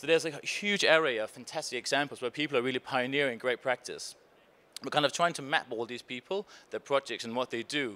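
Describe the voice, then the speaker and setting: In a Danish accent, a man speaks at a very fast pace with a bright, sharp tone. His medium pitch shows ordinary variation, and the sound is dry and close with no echo. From Denmark. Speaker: conference panelist, innovation foundation researcher. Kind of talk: conference presentation. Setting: stage with audience.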